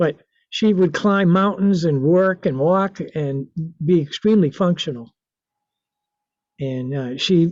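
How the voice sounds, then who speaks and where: The man's pitch is high, with lively intonation. He speaks at a fairly slow pace. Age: 70s. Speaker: artist and author. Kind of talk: interview. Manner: halting, many fillers.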